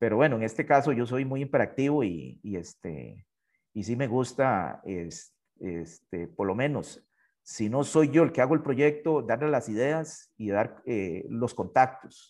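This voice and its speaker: This man has an unremarkable speaking voice at a medium pitch. His intonation is lively, and his pace is fairly slow. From Costa Rica. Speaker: university professor and election candidate. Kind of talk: interview.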